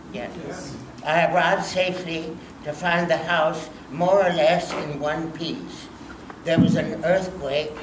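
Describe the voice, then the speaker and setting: Over noticeable background noise, a man speaks at a fairly slow pace with a fairly high pitch and fairly even intonation. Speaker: artist. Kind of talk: reading letters aloud. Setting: public event at a library. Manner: hesitant, many fillers. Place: hall. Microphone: handheld.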